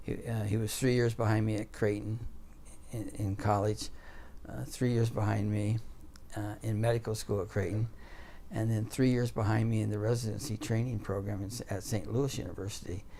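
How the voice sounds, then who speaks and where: A man speaks fairly quickly in a fairly low, dark, mellow voice. It sounds somewhat breathy. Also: fairly even intonation. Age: 60s. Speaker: orthopedic surgeon. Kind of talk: interview. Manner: halting, many fillers.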